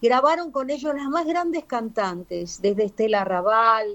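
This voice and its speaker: A woman with a Rioplatense accent speaks at a fairly high pitch. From Argentina (Buenos Aires), born in Paraguay. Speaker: singer. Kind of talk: interview. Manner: halting, many fillers.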